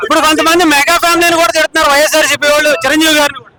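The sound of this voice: A man talks at a very fast pace in an extremely high voice with a bright, sharp tone and little pitch movement, the sound dry and close with no echo.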